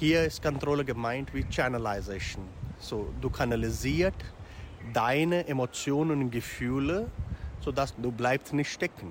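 At a fairly slow pace, a man speaks at medium pitch with lively intonation. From India. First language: Hindi or other Indian language (speaking German). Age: 40s. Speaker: yoga teacher. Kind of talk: interview. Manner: halting.

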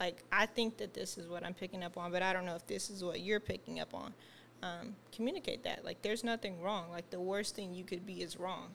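Soft-spoken and at a medium pitch, a woman talks at a fairly quick pace with vocal fry and fairly even intonation. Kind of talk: casual chat.

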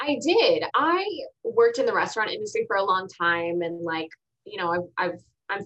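A plain, everyday voice from a woman with an American accent, moderate pace, ordinary pitch variation. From Texas. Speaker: TV show host. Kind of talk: interview conversation.

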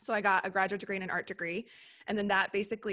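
A woman speaks with an American accent in a bright, sharp tone. The recording is very clean, with a silent background. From US Upper Midwest (Minneapolis / Wisconsin border). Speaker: branding and web design agency founder. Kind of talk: casual interview. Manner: animated.

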